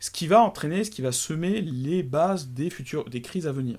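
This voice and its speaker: A man's lively intonation comes across on a very clean recording with a silent background. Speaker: podcast co-host. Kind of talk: casual explanatory chat.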